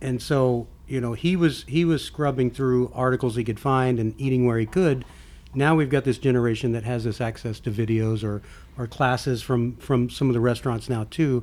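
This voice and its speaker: A man's plain, everyday voice in an American accent, medium-pitched, at a moderate pace with fairly even intonation. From Texas. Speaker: podcast host. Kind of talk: casual chat.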